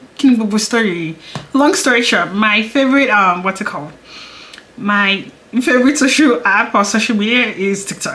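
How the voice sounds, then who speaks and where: A woman speaks at a moderate pace with lively intonation, amid audible room echo and noticeable background noise. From Nigeria. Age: 20s. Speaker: beauty YouTuber. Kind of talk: casual chat. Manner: chatty, hesitant with fillers.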